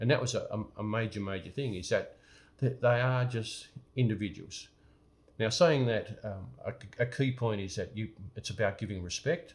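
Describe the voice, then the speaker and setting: Somewhat breathy, a man speaks with ordinary pitch variation on a very clean recording with a silent background. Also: medium pitch for a man, moderate pace. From Australia. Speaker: business coach. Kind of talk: motivational talk to camera. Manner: halting, many repetitions and fillers.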